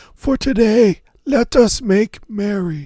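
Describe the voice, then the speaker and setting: A man puts on a character voice at a high pitch. He speaks at a fairly slow pace with lively intonation. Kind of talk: fairy-tale reading with archaic speech. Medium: read story. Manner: humble, earnest.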